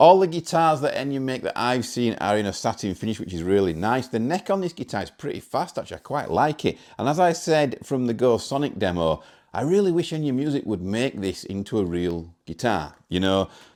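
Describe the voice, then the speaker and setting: A man with a British accent at a medium pitch, very wide pitch swings, a fairly quick pace and hardly any pauses. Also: very clean recording, silent background. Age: 40s. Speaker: guitar demo YouTuber. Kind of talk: product demo. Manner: casual.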